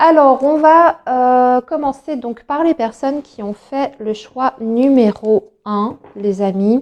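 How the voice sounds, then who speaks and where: A woman speaks at a very slow pace in a high voice, with ordinary pitch variation and hardly any pauses. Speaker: tarot card reader. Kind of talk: tarot reading for viewers. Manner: hesitant, many fillers.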